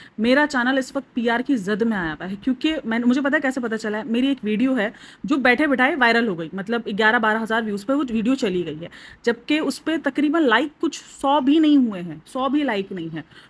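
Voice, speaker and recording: Hardly pausing, a woman speaks at a high pitch with lively intonation. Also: moderate pace. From Pakistan. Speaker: YouTube reaction vlogger. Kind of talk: casual vlog commentary.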